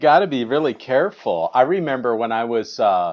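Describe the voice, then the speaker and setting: A man's plain, everyday voice at medium pitch, moving at a moderate pace. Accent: American. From Wisconsin. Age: 50s. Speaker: jazz musician. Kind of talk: casual chat.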